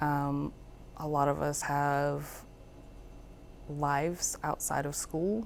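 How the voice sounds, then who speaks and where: A woman speaks very slowly at a very deep, low pitch, with long, frequent pauses and fairly even intonation. Room echo is audible. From Alabama. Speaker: Marine Corps veteran student. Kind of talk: interview answers. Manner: hesitant, many fillers.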